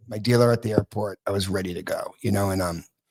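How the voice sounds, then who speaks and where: A man with an American accent and a fairly low pitch, talking at a very fast pace with fairly even intonation. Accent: East Coast accent, sometimes noticeable. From US Northeast (Massachusetts). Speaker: guest talking about addiction recovery. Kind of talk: podcast interview, personal recovery story. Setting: live podcast broadcast from a recovery club. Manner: casual, with some swearing and joking asides.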